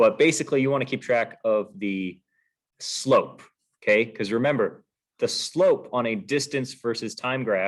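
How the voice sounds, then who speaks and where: On a very clean recording with a silent background, a man talks in an ordinary speaking voice at medium pitch, with ordinary pitch variation and a moderate pace. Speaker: physics teacher. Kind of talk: review lecture.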